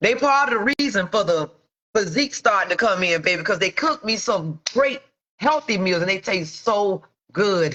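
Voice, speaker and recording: A woman's unremarkable speaking voice at medium pitch, moderate pace, lively intonation and very even loudness. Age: 40s. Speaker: entrepreneur. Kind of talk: casual livestream talk to viewers. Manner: casual, frank.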